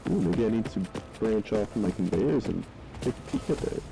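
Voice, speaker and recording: Medium-pitched man at a moderate pace amid noticeable background noise. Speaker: gaming video creator. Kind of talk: casual gameplay commentary.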